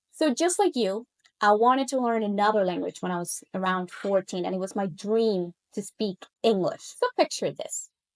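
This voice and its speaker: A woman with a Spanish accent talks at a moderate pace with a medium pitch. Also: dry, close sound with no echo. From Colombia. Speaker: language coach. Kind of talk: casual monologue to camera.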